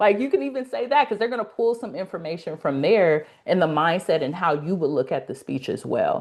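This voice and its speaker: A woman speaks at a fairly quick pace with hardly any pauses. Her Los Angeles accent carries very wide pitch swings. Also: medium pitch for a woman. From US West Coast, South Central Los Angeles. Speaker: speaking coach, academy founder. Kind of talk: casual interview on a live webinar.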